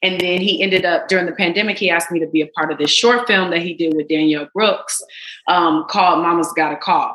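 Here is a normal speaking voice with ordinary pitch variation. The pace is fairly quick. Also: woman. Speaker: actress. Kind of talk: casual chat.

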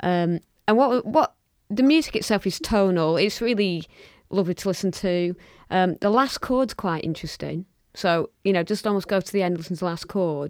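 Captured in a very clean recording with a silent background and a dry, close sound with no echo, the speaker has a Lancashire accent, a moderate pace and ordinary pitch variation. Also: woman, medium pitch for a woman. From Lancashire, northern England. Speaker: podcast co-host. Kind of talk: casual chat.

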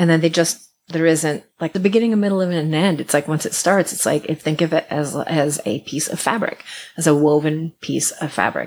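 In an American accent, a woman with an unremarkable speaking voice talks at a moderate pace with a fairly low pitch and ordinary pitch variation. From US Midwest, Iowa. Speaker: musician and folklorist. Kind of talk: interview conversation. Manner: repetitive, restarts words.

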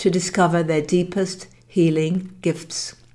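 The tone is dramatic, dark, and mellow. Delivery comes at a fairly slow pace. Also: woman. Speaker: podcast host and author. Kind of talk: audiobook-style narration of own book, dramatic storytelling. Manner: dramatic, evocative, measured storytelling pace.

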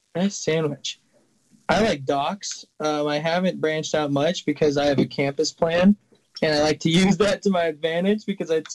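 With a plain, everyday voice, a man in an American accent speaks at a moderate pace and fairly high pitch, his intonation fairly even and the sound dry and close with no echo. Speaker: college student and fly fishing guide. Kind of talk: casual chat.

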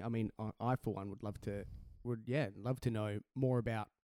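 With an Australian accent and a dark, mellow tone, a man speaks at a medium pitch and moderate pace with fairly even intonation, in a dry, close sound with no echo.

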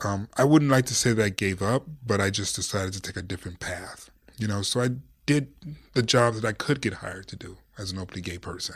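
A man with an American accent, a fairly low pitch and a somewhat breathy voice, with big swings in loudness, on a very clean recording with a silent background. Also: ordinary pitch variation, fairly quick pace. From Detroit, US Midwest. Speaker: sports journalist and broadcaster. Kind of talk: casual interview.

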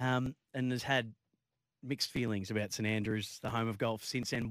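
The voice carries an Australian accent and fairly even intonation. The sound is dry and close, with no echo. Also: man. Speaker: sports radio host. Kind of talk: sports radio chat.

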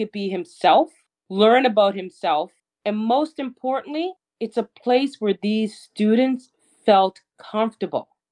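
The intonation here is lively. The pace is fairly slow. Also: woman. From Nova Scotia, Canada. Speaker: educator and community advocate. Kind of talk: interview.

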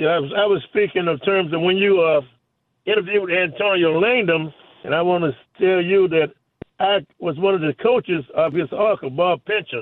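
Ordinary pitch variation with very even loudness. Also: man, high pitch for a man, moderate pace. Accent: American. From US South. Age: 80s+. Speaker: caller. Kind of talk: call-in chat. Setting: phone call. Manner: halting.

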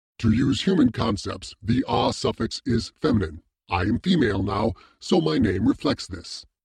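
A man puts on a character voice, resonant and medium in pitch. He speaks at a moderate pace. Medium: read story. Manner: formal, measured, imperious.

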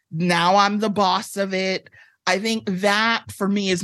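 Very slow speech with an American accent and fairly even intonation. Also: woman, quiet background. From Chicago area, Illinois (Evanston). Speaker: author. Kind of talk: casual interview chat.

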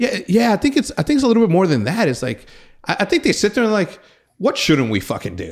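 Talking at a very fast pace in an animated tone, a man uses a high pitch with very wide pitch swings. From Mexico. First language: Spanish. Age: 30s. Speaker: podcast host. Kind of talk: casual chat. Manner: animated, frequent word repetitions.

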